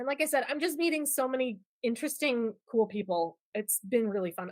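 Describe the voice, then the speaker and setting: A woman speaks loudly in an animated tone at a fairly quick pace. Her pitch swings very widely. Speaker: product management leader. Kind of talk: podcast interview.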